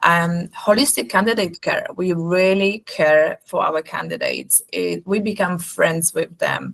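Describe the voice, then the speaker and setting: With a Polish accent, a woman speaks at a fairly slow pace with hardly any pauses, in a dry, close sound with no echo. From Poland. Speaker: nurse recruitment company representative. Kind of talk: webinar presentation.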